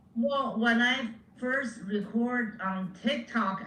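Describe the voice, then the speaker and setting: The speech comes at a very slow pace with ordinary pitch variation, audible room echo and noticeable background noise. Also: woman. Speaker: comedian. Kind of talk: interview.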